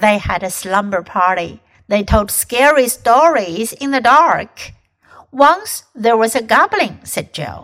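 Speaking at a very slow pace, a woman uses lively intonation in a fairly high voice. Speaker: English teacher and storyteller. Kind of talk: scripted narration of a children's ghost story, then English-learning lesson. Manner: clear, slow, measured storytelling with mild spooky drama, teacher-like.

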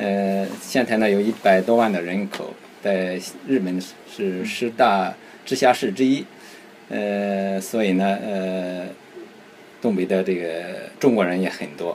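At a very slow pace with long, frequent pauses, a man speaks in a fairly low voice with fairly even intonation. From Shandong, Qingzhou. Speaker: community association president. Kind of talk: casual chat.

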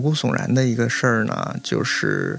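A man at a moderate pace with ordinary pitch variation, with audible room echo. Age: 30s. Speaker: importer, former sommelier and vet student. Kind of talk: casual interview chat.

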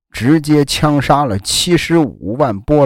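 A man talks at a very slow pace. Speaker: podcast host. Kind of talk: storytelling history narration. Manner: casual, filler-heavy (啊, 这个).

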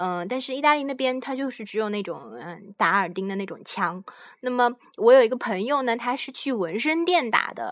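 A woman with a high pitch talks at a moderate pace in a very clean recording with a silent background. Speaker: podcast host. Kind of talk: informational monologue. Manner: halting, many fillers.

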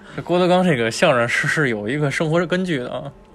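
A man talks. Background noise is clearly audible. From Tianjin. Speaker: podcast host. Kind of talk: casual chat.

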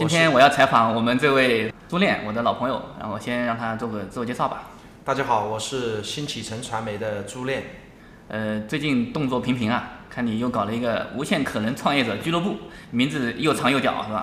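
A man's medium-pitched voice at a fairly quick pace with ordinary pitch variation, plus noticeable background noise and audible room echo. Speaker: podcast host. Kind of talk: casual interview.

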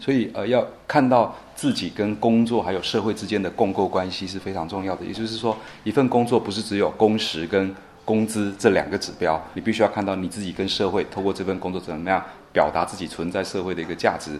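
Here a man talks in an unremarkable speaking voice. His pace is fairly quick and his intonation fairly even. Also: fairly low pitch for a man. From Taiwan, Nantou. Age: 30s. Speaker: guesthouse owner and rural entrepreneur. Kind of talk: interview.

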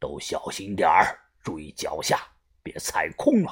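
In a put-on character voice, a man speaks low-pitched at a fairly slow pace, with very wide pitch swings and a slightly husky edge.

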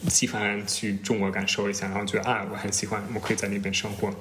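Noticeable background noise and audible room echo surround the speech. The pace is fairly quick. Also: man. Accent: non-native. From Germany. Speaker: former exchange student in China. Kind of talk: casual interview chat. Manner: halting, many fillers.

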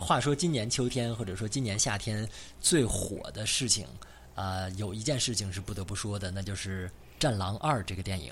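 Audible room echo carries speech at a moderate pace with ordinary pitch variation. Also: man, fairly low pitch for a man. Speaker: podcast host. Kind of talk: casual chat.

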